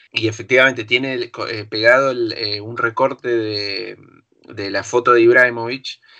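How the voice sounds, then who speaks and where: A man in a Rioplatense accent speaks at a medium pitch and moderate pace, his monotone, flat intonation paired with big swings in loudness. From Argentina, La Plata. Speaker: film director. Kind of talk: casual chat.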